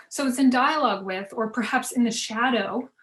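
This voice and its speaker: Somewhat breathy and fairly even in intonation, a woman talks at a fairly quick pace. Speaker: fashion history professor. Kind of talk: conference panel presentation. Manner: fast.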